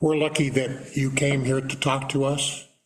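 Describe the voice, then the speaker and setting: Audible room echo fills the recording. A man does the talking. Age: 70s. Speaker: city councilman. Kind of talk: public council meeting discussion.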